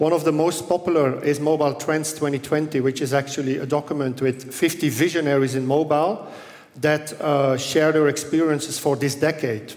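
A man's intonation stays fairly even as he talks at a moderate pace. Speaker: conference keynote speaker. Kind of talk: conference talk. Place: hall. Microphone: headset.

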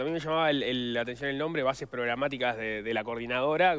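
Here a man talks at a very fast pace in a Rioplatense accent. His pitch varies in an ordinary way. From Uruguay. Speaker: radio host. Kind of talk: interview. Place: studio.

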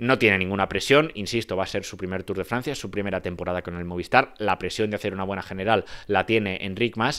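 A man at a very fast pace with hardly any pauses, fairly low pitch, ordinary pitch variation and a quiet background. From Spain. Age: 20s. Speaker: cycling analyst. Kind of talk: solo video commentary. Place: home room. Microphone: handheld.

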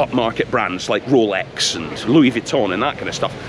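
A man at a moderate pace, dry and echo-free, with noticeable background noise. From Scotland. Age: 40s. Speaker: travel vlogger. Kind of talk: informal walking tour commentary. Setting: outdoors walking in city streets. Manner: casual, chatty. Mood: relaxed, chatty. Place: street. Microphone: phone near.

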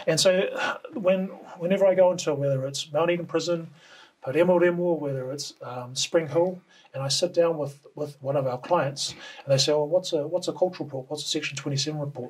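A man with a New Zealand accent, fairly high-pitched, fairly quick but broken by long, frequent pauses, fairly even in intonation. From New Zealand, Auckland. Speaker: cultural report writer. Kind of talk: interview. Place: studio.

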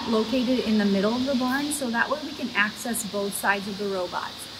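A woman speaks with ordinary pitch variation. Noticeable background noise runs underneath. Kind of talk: casual guided tour explanation. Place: farm machine. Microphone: camera far.

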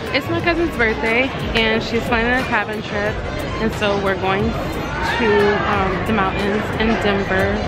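With loud music in the background, a woman talks at a fairly slow pace with ordinary pitch variation in a dry sound with no echo. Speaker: travel vlogger. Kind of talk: casual vlog chat. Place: station.

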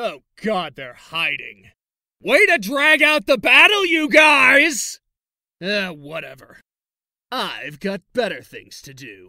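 A man puts on a character voice, raised and projected at an extremely high pitch. His pitch swings very widely as he talks at a fairly slow pace. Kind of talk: character audition reel.

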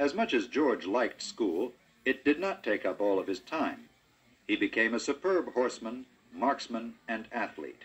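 Lively intonation marks a man's speech at a fairly slow pace. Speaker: audiobook narrator. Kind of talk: storybook narration. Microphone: old recording.

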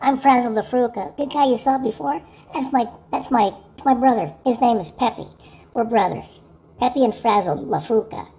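A woman's fairly high voice, with ordinary pitch variation, holds a moderate pace. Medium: comedy sketch.

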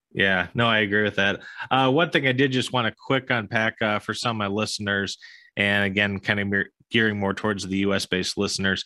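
A man with a plain, everyday voice and an American accent talks at a fairly quick pace in a fairly low pitch with fairly even intonation, the sound dry with no echo and the background quiet. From US, Florida. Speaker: podcast host and investor; podcast host. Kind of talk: interview. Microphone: studio mic.

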